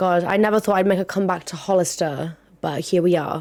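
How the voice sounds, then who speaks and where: This woman talks at a very fast pace with a British accent. Her pitch sits fairly low. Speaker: podcast host. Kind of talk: casual chat. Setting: home recording at a desk. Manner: animated; loud.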